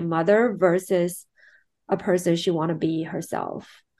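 The background is quiet. A woman with a Chinese accent talks at a moderate pace with fairly even intonation. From China, Shanghai. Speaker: film producer and director. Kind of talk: interview. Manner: hesitant, many fillers.

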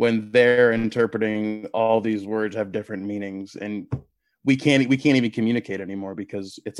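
In a very clean recording with a silent background, a man with a plain, everyday voice speaks fairly quickly at a fairly low pitch with fairly even intonation. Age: 30s. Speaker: podcast host, political commentator. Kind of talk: interview, political discussion.

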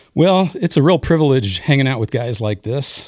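This man has a plain, everyday voice. He talks at a moderate pace with lively intonation. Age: 60s. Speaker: musician. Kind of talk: casual chat.

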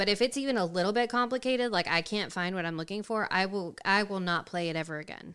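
Very fast delivery with hardly any pauses and ordinary pitch variation. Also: woman, medium pitch for a woman. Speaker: guest gamer. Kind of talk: casual chat. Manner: joking, humorous.

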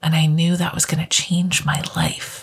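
The voice is somewhat breathy and proceeds at a fairly slow pace. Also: woman. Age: 20s. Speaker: podcast host. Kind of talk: solo podcast monologue.

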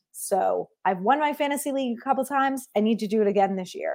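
Speaking fairly quickly with an American accent, a woman has a high pitch and lively intonation. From US Northeast, New Jersey. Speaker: sports podcast host. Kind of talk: solo podcast monologue. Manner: animated.

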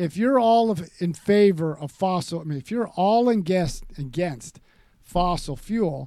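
Speaking at a fairly slow pace, a man with an American accent has a high pitch and a dark, mellow tone. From California. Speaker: podcast host, Marine combat veteran. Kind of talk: political talk show.

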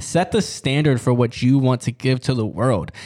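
An unremarkable speaking voice talks at a moderate pace with fairly even intonation, on a very clean recording with a silent background. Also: man. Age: 20s. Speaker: podcast host. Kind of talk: casual monologue. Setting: studio.

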